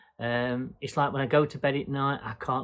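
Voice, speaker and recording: A man at medium pitch, monotone and flat, in a quiet background. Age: 60s. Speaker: vlogger, boat dweller. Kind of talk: casual Q&A vlog monologue. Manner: hesitant, many fillers.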